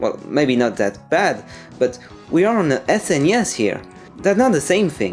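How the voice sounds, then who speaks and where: Over music in the background, a man with a non-native accent speaks with very wide pitch swings. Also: fairly high pitch for a man, moderate pace. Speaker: video game reviewer. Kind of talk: video game review narration.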